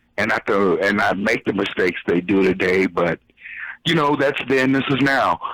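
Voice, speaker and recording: Pitch varies in an ordinary way at a moderate pace. It is a plain, everyday voice. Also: man. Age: 50s. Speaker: caller. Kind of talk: casual chat.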